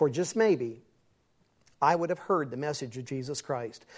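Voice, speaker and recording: In an American accent, a man speaks at a fairly quick pace with a fairly high pitch and ordinary pitch variation. His is an unremarkable speaking voice, set against a quiet background. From West Virginia. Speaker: evangelist, former rock musician. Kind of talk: testimony.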